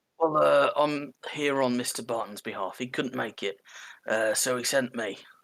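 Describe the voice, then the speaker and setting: A man's raspy, put-on character voice at a medium pitch and moderate pace, in a very clean recording with a silent background. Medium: actual play. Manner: hesitant, stammering.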